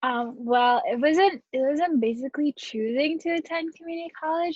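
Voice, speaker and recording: Her pace is fairly quick. The woman talks with an American accent. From Southern California. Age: 19. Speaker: community college student. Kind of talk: interview. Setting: video call.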